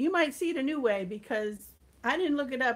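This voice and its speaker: Her pace is moderate, and this woman's pitch varies in an ordinary way. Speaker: home cooking livestreamer. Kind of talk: casual livestream chat. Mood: warm and cheerful. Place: kitchen. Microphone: phone near.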